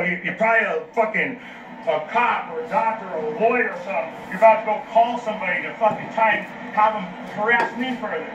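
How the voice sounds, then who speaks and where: A man shouting loudly in a high pitch with an American accent, fairly quick and fairly even in intonation, amid noticeable background noise and audible room echo. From Los Angeles, US. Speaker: street preacher. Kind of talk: heated street argument. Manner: yelling.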